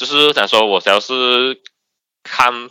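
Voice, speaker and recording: A man speaks at medium pitch in a bright, sharp tone with lively intonation, recorded dry and close with no echo in a very clean recording with a silent background. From Malaysia, Sabah. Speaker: anonymous podcast guest. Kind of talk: casual chat. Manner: halting, repetitive.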